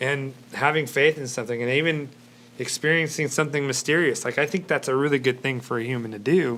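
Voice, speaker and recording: A man talks loudly at a fairly high pitch and a very fast pace. His tone is bright and sharp, his intonation fairly even. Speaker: church talk show host. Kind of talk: live panel discussion. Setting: live-streamed studio show.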